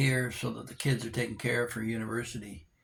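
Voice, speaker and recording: A man's medium-pitched, somewhat breathy voice keeps a fairly even intonation. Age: 70s. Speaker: vlogger. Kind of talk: casual monologue vlog. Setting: indoors at home. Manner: halting with many fillers.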